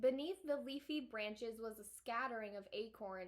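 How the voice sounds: The voice is a natural reading voice. Its pitch varies in an ordinary way.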